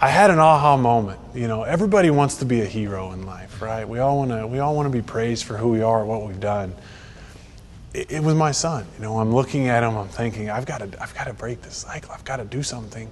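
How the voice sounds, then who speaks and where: Very fast delivery with big swings in loudness, noticeable background noise and audible room echo. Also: man, medium pitch for a man, ordinary pitch variation. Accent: American. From Texas. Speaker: golf association executive. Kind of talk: faith testimony interview.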